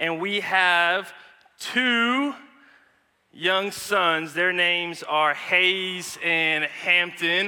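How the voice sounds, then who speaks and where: In a raised, projected voice with an American accent, a man speaks at a very slow pace, his high pitch and bright, sharp tone held in fairly even intonation. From United States. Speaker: guest preacher. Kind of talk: sermon. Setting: church.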